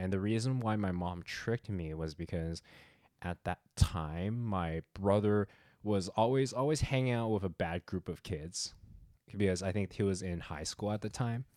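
A man talks at a moderate pace in a fairly low pitch with ordinary pitch variation, an ordinary speaking voice. The recording is very clean with a silent background and a dry, close sound with no echo. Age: 30s. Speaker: podcast co-host. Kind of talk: casual chat.

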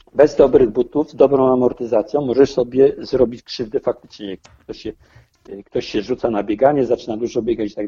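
A man's dark, mellow voice at a fairly quick pace, with ordinary pitch variation and a dry, close sound with no echo. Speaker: amateur triathlete. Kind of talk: interview.

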